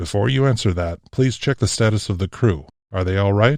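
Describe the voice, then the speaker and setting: A man puts on a character voice, pitched fairly low and delivered at a fairly quick pace. The recording is very clean, with a silent background. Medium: read story. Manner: formal, dignified.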